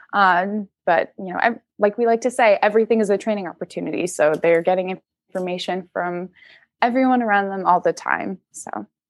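This woman has a plain, everyday voice at medium pitch, with ordinary pitch variation and a fairly quick pace. The sound is dry and close, with no echo. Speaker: zookeeper. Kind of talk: casual interview chat.

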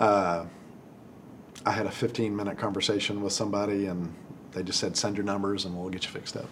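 Spoken fairly quickly in an American accent, the flat, monotone delivery breaks into long, frequent pauses amid audible room echo. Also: man, fairly low pitch for a man. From Texas (Amarillo). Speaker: dentist. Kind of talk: casual interview.

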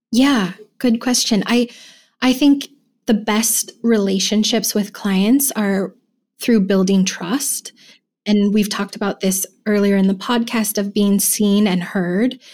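Somewhat breathy, a woman speaks at a medium pitch. Her intonation is fairly even. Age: young. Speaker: care manager. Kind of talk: interview answers.

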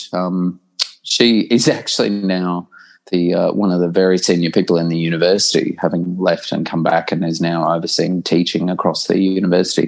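A man with an Australian accent, very deep and low in pitch, monotone and flat, at a fairly quick pace, on a very clean recording with a silent background. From Australia (New South Wales small town, then Brisbane). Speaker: professor. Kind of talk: casual interview chat.

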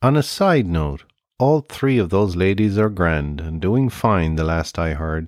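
On a very clean recording with a silent background, a man speaks with an Irish accent at a very deep, low pitch. His pace is fairly slow, his intonation lively. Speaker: podcast host. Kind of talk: scripted narration.

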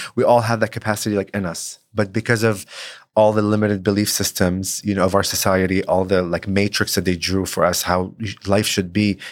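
A man with a fairly low pitch talks at a fairly quick pace with an Arabic accent. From Lebanon. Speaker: real estate agent. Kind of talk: interview. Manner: energetic.

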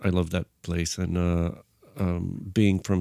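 A man with a Bulgarian accent, a very deep, low pitch and a dark, mellow tone at a moderate pace, in a very clean recording with a silent background. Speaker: film and tv composer, musician. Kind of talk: casual interview conversation. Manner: halting, hesitant with filler words.

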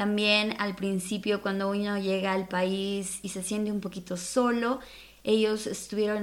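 At a fairly slow pace, a woman speaks at a medium pitch with monotone, flat intonation. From Mexico City. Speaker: podcast host. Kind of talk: podcast intro monologue.

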